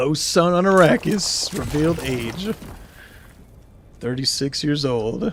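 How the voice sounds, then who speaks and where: Speaking very slowly with an American accent, a man leaves long, frequent pauses. His intonation is lively, and noticeable background noise runs underneath. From US Southwest, New Mexico. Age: 30s. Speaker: gaming streamer. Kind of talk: casual live-stream gameplay chat. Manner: casual, rambling with frequent fillers.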